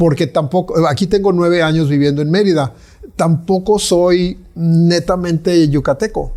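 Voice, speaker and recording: The speech moves at a fairly slow pace, its intonation fairly even. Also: man. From Mexico. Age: 60s. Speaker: visual artist. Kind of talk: interview conversation. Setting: artist's studio. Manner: halting with many fillers.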